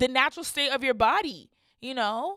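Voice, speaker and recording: A woman speaks in a bright, sharp tone on a very clean recording with a silent background. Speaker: podcast host. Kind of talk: personal monologue. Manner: halting, stuttering; casual, filler-heavy.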